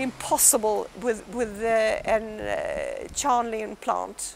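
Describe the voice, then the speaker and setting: The woman's voice shows ordinary pitch variation. There is noticeable background noise. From Sweden, Stockholm. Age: 60s. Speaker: patient and former Olympic fencer. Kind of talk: testimony. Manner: halting.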